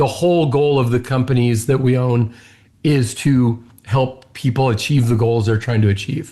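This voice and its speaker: The delivery moves at a moderate pace with a dark, mellow tone. Intonation stays fairly even, and the voice is somewhat breathy. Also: man, medium pitch for a man, very even loudness. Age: 60s. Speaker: business owner and CEO. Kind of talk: interview conversation.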